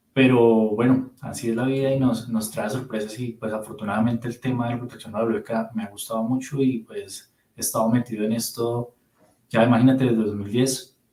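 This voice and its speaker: A man with a Bogotá accent, fairly quick in pace, with monotone, flat intonation. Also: medium pitch for a man. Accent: Bogotá Colombian. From Colombia, Bogotá. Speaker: physicist, radiation protection specialist. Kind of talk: interview conversation.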